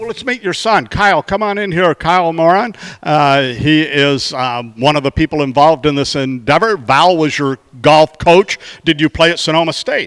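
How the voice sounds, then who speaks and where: A man with a plain, everyday voice talks at a moderate pace with lively intonation and a fairly high pitch. The sound is dry and close, with no echo. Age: 60s. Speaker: mayor hosting a community show. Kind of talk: casual interview. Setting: indoor golf arena.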